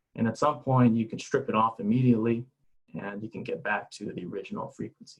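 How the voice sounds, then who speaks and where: The speaker is a man with a medium-pitched voice. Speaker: scientist presenting a webinar. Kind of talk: lecture. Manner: halting.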